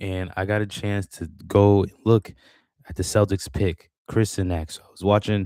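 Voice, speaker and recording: The sound is dry and close with no echo, on a very clean recording with a silent background. The intonation is monotone and flat. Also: man. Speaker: sports commentator. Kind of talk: casual vlog commentary.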